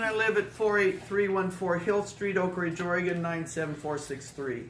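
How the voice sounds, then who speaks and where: A woman talks at a moderate pace with lively intonation and hardly any pauses. Room echo and noticeable background noise can be heard. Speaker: public commenter at council meeting. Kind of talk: public comment. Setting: city council meeting. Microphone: speaking without microphone.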